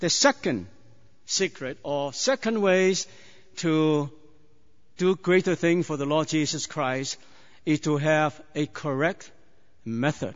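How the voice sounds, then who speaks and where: A man with a Chinese accent at a very slow pace, with long, frequent pauses, a fairly high pitch and ordinary pitch variation. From China. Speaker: preacher. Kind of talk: sermon. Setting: church. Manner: halting.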